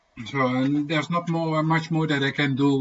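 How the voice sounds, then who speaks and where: A man speaks at a moderate pace with a Dutch accent. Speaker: homesteading vlogger. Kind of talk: casual livestream chat. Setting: livestream. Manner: soft-spoken; halting. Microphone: laptop microphone, low volume.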